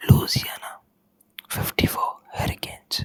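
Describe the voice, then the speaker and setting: The speaker is whispering. The pace is moderate. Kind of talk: ASMR whispered news reading. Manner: whispered.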